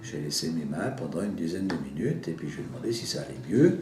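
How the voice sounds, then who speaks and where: A man's voice with very wide pitch swings and audible room echo. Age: 70s. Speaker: healer, former chocolatier. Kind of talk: personal testimony. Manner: hesitant, with fillers.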